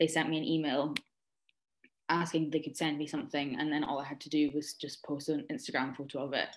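Very deep, low pitch from a woman, her intonation fairly even. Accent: Aberdeen. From Scotland, Aberdeen. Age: 20s. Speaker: social media influencer. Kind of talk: casual chat.

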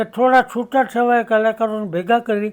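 A man speaks in a high voice with fairly even intonation. The recording is very clean, with a silent background. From Gujarat, India (Rajkot). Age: 80s+. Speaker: music teacher. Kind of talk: interview.

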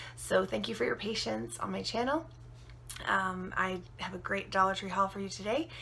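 A woman talks while light background noise sits behind her. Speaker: haul vlogger. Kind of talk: casual vlog chat. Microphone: phone near.

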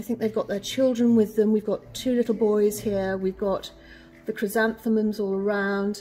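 A somewhat breathy woman's voice, fairly high in pitch, with a dark, mellow tone at a moderate pace. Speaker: auctioneer and valuer. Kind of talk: presenting auction lots to camera. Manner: enthusiastic. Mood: warm, enthusiastic. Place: shop.

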